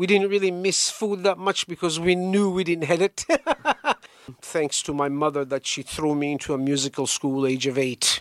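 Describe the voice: A man at a fairly high pitch, fairly bright in tone, with little pitch movement and a moderate pace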